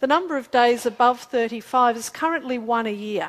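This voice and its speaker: The speaker has an Australian accent and a moderate pace. Pitch variation is ordinary. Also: woman. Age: 40s. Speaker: climate scientist presenter. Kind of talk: public talk with slides. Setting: community forum with audience.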